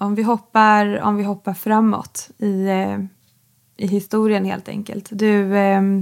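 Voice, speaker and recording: Intonation stays monotone and flat. The pace is very slow. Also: woman, medium pitch for a woman. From Sweden, Bergslagen. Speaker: podcast host. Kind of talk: interview. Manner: halting.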